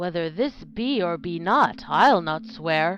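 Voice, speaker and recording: A put-on character voice growls at a fairly slow pace. Its intonation is lively. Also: woman. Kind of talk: Shakespearean verse drama. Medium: audio drama.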